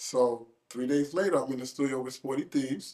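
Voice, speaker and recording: A man with a New York accent and a dark, mellow tone speaks fairly quickly at a medium pitch. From New York City, Queens. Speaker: rapper. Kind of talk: interview. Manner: casual storytelling.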